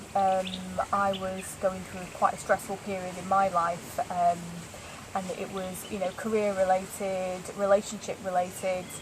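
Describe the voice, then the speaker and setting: A woman with a northern English accent speaks at a fairly slow pace and medium pitch, in a monotone, flat way. Her loudness swings widely, and there is noticeable background noise. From northern England, Lancashire. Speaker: interviewee, law of attraction practitioner. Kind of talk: casual interview. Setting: yoga retreat in Thailand.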